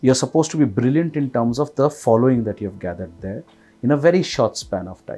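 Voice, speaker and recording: Speaking at a very fast pace with an Indian accent, a man uses a medium pitch, lively intonation and a dark, mellow tone. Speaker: podcast host. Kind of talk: casual interview conversation.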